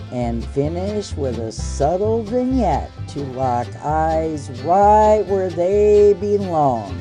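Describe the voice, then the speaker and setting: With music in the background, a woman in a Southern US accent speaks at a very slow pace with very wide pitch swings. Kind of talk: casual photo editing talk to camera. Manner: folksy, sassy.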